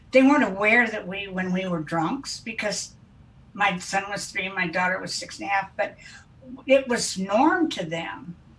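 Noticeable background noise sits behind a woman's voice. She has a medium pitch and speaks at a moderate pace with lively intonation. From US Midwest, Wichita, Kansas. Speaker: interventionist. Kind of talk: interview. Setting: video call.

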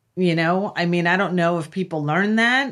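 Fairly low-pitched woman with a New York accent and ordinary pitch variation, on a very clean recording with a silent background. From US Northeast (Long Island, New York). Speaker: professional organizer. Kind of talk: casual chat. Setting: studio.

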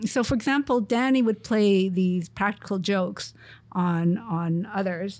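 A woman with a plain, everyday voice, medium pitch, ordinary pitch variation and a fairly slow pace, on a very clean recording with a silent background. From Montreal, Canada. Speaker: research group leader, engineer. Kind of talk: interview.

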